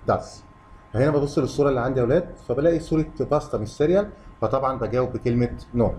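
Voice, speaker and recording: A man with an Egyptian accent speaks at a very fast pace, at medium pitch with ordinary pitch variation. Noticeable background noise runs underneath. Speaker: English teacher for kids. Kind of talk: lesson.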